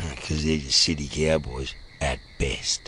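With an Australian accent, a man speaks at a fairly slow pace. His pitch is very deep and low, and background noise is noticeable. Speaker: actor. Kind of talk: radio show promo. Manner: casual, laid-back.

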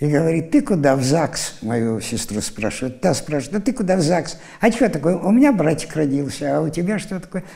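A dark, mellow tone with vocal fry and very wide pitch swings, at a fairly quick pace against a quiet background. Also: man, fairly high pitch for a man. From Siberia, Irkutsk region; Siberia, Russia. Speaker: university lecturer; university lecturer, interviewee. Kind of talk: interview storytelling. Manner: animated. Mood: lively, amused storytelling. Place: studio. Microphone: lapel.

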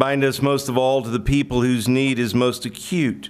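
A man is talking. Nothing much sounds behind him, so the background is quiet. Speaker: pastor giving invocation. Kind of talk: prayer. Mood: solemn, reverent. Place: hall. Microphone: podium.

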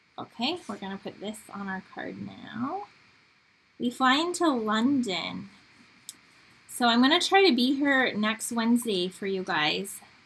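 A woman with an Upper Midwest accent speaks at a fairly slow pace, leaving long, frequent pauses. Her pitch swings very widely and her loudness rises and falls a lot. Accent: Upper Midwest American. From Michigan. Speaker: crafting demonstrator. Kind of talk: live-stream craft tutorial. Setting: live stream from home studio. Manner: chatty.

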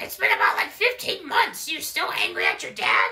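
The pitch is extremely high in this put-on character voice. Its pace is moderate. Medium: fan dub. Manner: excitable, loud, goofy.

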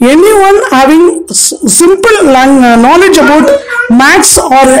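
A woman with an Indian accent speaks in a high voice whose pitch swings very widely. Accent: Indian English (Tamil). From Madurai, Tamil Nadu, India. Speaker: retired bank manager, career counselor. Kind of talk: interview, casual chat. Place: home room. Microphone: handheld.

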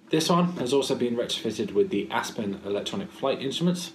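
Light background noise sits behind a man's voice. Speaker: presenter. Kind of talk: casual vlog explanation. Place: home room. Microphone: webcam.

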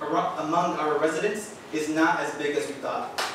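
Strong room echo surrounds a man's voice, with light background noise behind it. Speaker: high school student at public comment. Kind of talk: prepared public statement. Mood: earnest, slightly nervous. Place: hall.

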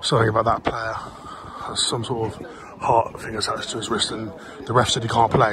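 Shouting at a fairly quick pace with long, frequent pauses, a man at medium pitch sounds animated, his loudness swinging widely over noticeable background noise. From England. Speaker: football vlogger and fan. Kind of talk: sports vlog, with live-commentary-style reactions to the match. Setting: outdoors at a football ground. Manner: excitable, animated, shouting in real time at goals and chances; casual, chatty, swears. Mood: excited, frustrated about game. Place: open country. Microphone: phone near.

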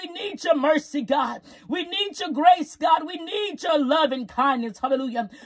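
At a moderate pace with hardly any pauses, a woman with an extremely high pitch speaks over a quiet background. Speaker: prayer leader. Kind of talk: fervent live-streamed prayer, intercessory, with repeated hallelujahs. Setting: live stream to online audience. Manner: impassioned, pleading, rhythmic repetition, rising intensity; commanding and declarative when rebuking. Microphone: phone near.

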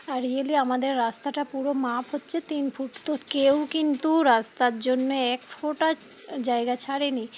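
With noticeable background noise behind her, a woman speaks at a high pitch in a monotone, flat intonation. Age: 30s. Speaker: lifestyle vlogger. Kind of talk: casual vlog.

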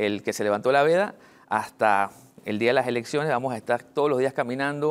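A man speaks with a medium pitch and ordinary pitch variation. His pace is fairly quick. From Panama (Betania, Panama City); Panama. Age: 30s. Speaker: local election candidate; election candidate. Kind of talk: TV news interview. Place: studio. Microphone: lapel.

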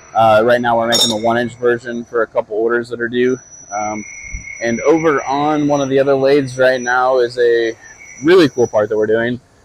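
A man speaks fairly quickly in a monotone, flat delivery, the sound dry with no echo but with noticeable background noise. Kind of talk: casual vlog chat. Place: workshop. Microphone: lapel.

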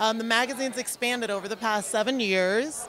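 Over light background noise, a woman speaks at a moderate pace with fairly even intonation in a dry sound with no echo. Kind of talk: interview answer. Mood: cheerful, laughing. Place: hall. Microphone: handheld.

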